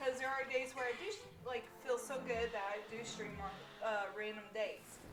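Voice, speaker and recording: Loud, high-pitched woman's voice amid audible room echo and noticeable background noise. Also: ordinary pitch variation, moderate pace. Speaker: gaming streamer. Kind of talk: live stream chat. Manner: halting.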